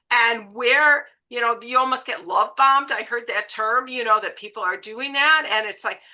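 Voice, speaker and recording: Speaking at a moderate pace with hardly any pauses, a woman uses a high pitch, a bright, sharp tone and fairly even intonation. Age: 70s. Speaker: podcast host. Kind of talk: interview conversation.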